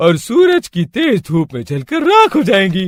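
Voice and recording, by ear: A man's cartoonish character voice, high in pitch with very wide swings, at a moderate pace, dry and close with no echo.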